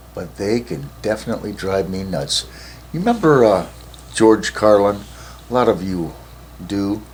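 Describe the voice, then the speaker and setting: The speech moves at a moderate pace with lively intonation, broken by long, frequent pauses. Loudness swings widely, and there is noticeable background noise. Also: man, fairly low pitch for a man. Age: 70s. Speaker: vlogger. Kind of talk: casual monologue to camera.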